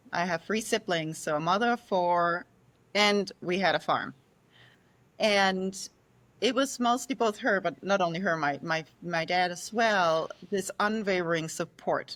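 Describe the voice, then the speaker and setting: A woman with a Danish accent speaks at a fairly slow pace and medium pitch. Her pitch varies in an ordinary way, and the recording is very clean with a silent background. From Denmark, rural. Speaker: sleep scientist. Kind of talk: podcast interview.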